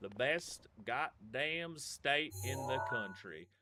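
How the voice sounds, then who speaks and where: With music in the background, a man speaks in an American accent. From US Upper Midwest, Minnesota. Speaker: gaming streamer. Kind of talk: live game stream chat.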